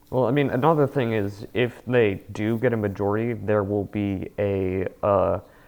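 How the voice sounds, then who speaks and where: This is a plain, everyday voice from a man with an American accent, pitched fairly low. He speaks at a fairly slow pace with fairly even intonation on a very clean recording with a silent background. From Washington State, Spokane. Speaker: podcast co-host. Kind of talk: casual chat.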